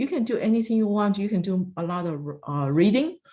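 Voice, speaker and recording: On a very clean recording with a silent background, a woman with a non-native accent speaks at a moderate pace and medium pitch, her dark, mellow tone moving in very wide pitch swings. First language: not English. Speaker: retired federal agency director. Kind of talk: career advice talk. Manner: halting.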